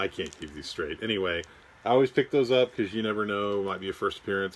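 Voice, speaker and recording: A man with fairly low pitch speaks at a very fast pace. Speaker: comic book collector vlogger. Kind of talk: casual haul video, showing items. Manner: casual, with many fillers.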